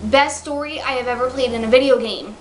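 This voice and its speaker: A woman speaks at a fairly quick pace while noticeable background noise is present. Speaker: video game reviewer. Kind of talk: casual talk to camera. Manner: stuttering.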